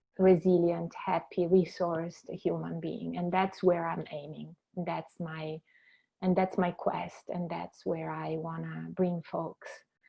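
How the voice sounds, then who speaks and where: A woman speaks with a strong Italian accent. Her loudness swings widely. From Italy, Venice. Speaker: clinical counsellor. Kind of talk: interview. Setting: podcast. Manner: halting.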